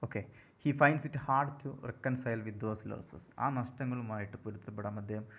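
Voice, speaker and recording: A man talks in an unremarkable speaking voice with ordinary pitch variation. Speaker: English literature tutor. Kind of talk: lecture.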